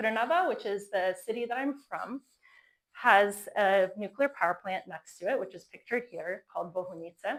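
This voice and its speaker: In an American accent, this speaker has an ordinary speaking voice, ordinary pitch variation and a moderate pace. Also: woman. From US, Florida. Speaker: fusion energy entrepreneur. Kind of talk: conference talk.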